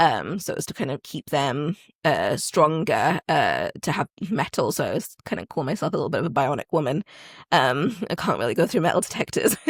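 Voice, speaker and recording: A woman speaks at a fairly quick pace with a slight American accent. The sound is dry and close with no echo, in a very clean recording over a silent background. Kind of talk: podcast interview. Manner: hesitant, many fillers.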